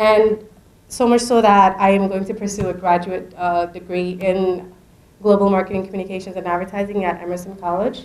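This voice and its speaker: A woman talks in a monotone, flat intonation. Noticeable background noise runs behind her. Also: medium pitch for a woman, fairly quick pace. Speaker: student award recipient. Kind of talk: acceptance speech.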